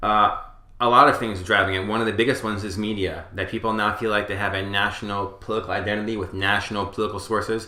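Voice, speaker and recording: A man with an American accent talks at a very fast pace in a bright, sharp tone and a fairly low pitch. His intonation is monotone and flat, and audible room echo is present. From New York area (Westchester County). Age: 40s. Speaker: political pundit. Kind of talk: interview. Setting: small studio.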